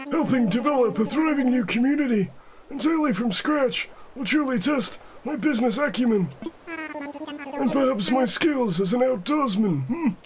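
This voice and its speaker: A man does a put-on character voice at an extremely high pitch, with lively intonation and a moderate pace. Background noise is clearly audible. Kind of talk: comic overacting. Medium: solo performance. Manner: polite, fussy, repeats "yes, yes".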